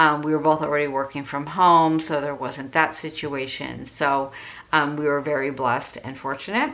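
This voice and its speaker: A woman with a very deep, low pitch talks in a monotone, flat intonation. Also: moderate pace. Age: 60s. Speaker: budgeting vlogger. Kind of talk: casual tutorial vlog. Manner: conversational with frequent fillers.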